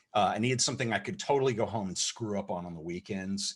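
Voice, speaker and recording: A man talks at a very fast pace. His voice sits fairly low. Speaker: photographer and video creator. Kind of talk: interview talk.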